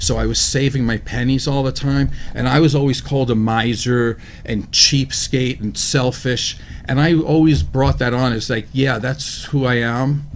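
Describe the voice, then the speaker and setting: Against noticeable background noise, a man at a medium pitch talks at a moderate pace with fairly even intonation. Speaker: talk show co-host. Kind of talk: casual discussion.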